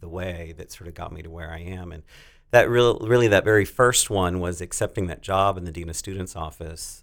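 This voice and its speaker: A man with an American accent speaks at a moderate pace in a very deep, low register. The recording is very clean, with a silent background. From North Texas. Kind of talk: casual interview.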